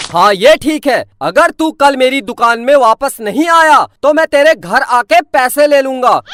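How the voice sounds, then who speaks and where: In a put-on character voice, someone shouts in a high, gruff tone at a moderate pace. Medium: cartoon. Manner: gruff, shouting.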